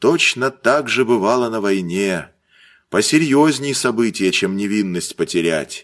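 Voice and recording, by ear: Reading aloud in a natural voice with lively intonation, over a quiet background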